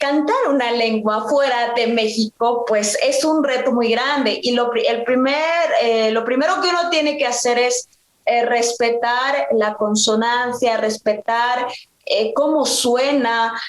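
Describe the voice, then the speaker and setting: At a very slow pace, the voice holds fairly even intonation and very even loudness, with audible room echo around it. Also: woman, high pitch for a woman. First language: Mixe (speaking Spanish). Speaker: singer. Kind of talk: conversational interview. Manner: halting, many fillers.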